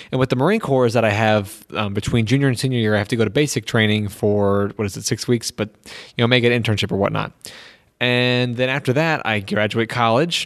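Against a quiet background, a man talks at a very fast pace. His pitch is medium and his intonation fairly even. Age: 20s. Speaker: podcast host and college student. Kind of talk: casual solo monologue. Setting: empty university building. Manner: halting, many fillers and restarts.

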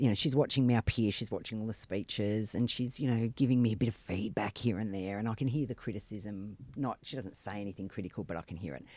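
On a very clean recording with a silent background and a dry, close sound with no echo, a man with an Australian accent and medium pitch speaks at a fairly quick pace. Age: 50s. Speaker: politician. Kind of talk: casual chat.

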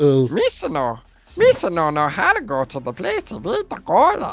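Someone does a put-on character voice at a middle pitch, speaking at a fairly slow pace.

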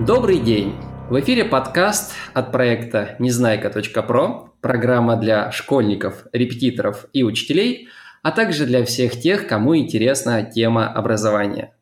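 An ordinary speaking voice, a man at a medium pitch goes at a fairly slow pace with ordinary pitch variation and very even loudness. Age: 20s. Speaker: podcast host. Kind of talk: interview; scripted narration.

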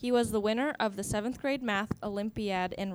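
In an ordinary speaking voice, a woman talks at a moderate pace and medium pitch on a very clean recording with a silent background. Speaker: student comedian panelist.

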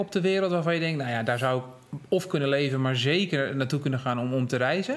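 Noticeable background noise runs under this recording. A man speaks at a very fast pace in a fairly high pitch. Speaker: podcast host. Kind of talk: interview. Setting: in person.

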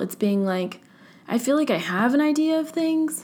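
A woman speaks in a Californian accent with lively intonation. She keeps a moderate pace. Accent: Californian American. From US, Orange County, California. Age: young (about to turn 20). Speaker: podcast host. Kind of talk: casual solo monologue. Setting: at home, at her desk. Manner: filler-heavy, casual (um, like).

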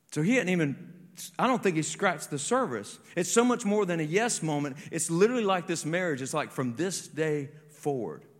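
A man's high-pitched, animated voice with lively intonation and audible room echo. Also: fairly quick pace. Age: 40s. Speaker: pastor. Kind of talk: sermon.

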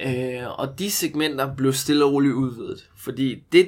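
A man with a plain, everyday voice speaks at a medium pitch and a fairly slow pace. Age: 20s. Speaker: movement coach. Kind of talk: casual chat.

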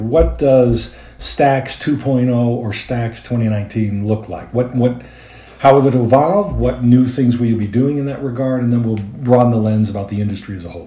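With noticeable background noise behind him, a man talks at a moderate pace and medium pitch with ordinary pitch variation. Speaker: podcast host. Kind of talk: podcast intro and interview.

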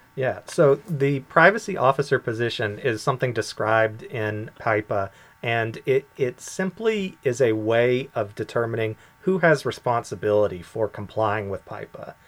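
With an American accent, a man talks in an ordinary speaking voice at medium pitch. His pace is moderate and his intonation lively. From US. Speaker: privacy commissioner. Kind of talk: casual interview.

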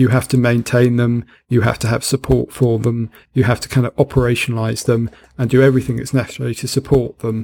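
Speaking very fast with a British accent, a man keeps a flat, monotone delivery at medium pitch, his tone dark and mellow. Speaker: podcast host. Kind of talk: casual chat.

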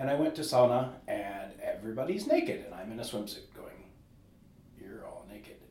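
Speaking at a moderate pace with a Californian accent, a man's voice shows big swings in loudness. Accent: American, Californian. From California, US. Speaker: musician. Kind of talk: interview.

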